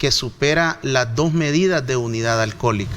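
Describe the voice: A man's fairly bright voice at a medium pitch, with ordinary pitch variation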